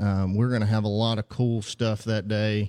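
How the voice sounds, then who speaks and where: A man's medium-pitched voice in a Southern US accent, dark and mellow in tone, monotone and flat, at a moderate pace, on a very clean recording with a silent background and a dry, close sound with no echo. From Mississippi. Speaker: physical therapist. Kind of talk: radio interview. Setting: studio. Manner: halting, many fillers.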